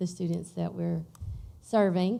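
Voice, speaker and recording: The speaker is a woman with a fairly low pitch. Her tone is dark and mellow. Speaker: teacher asking a question. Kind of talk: audience question. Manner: loud.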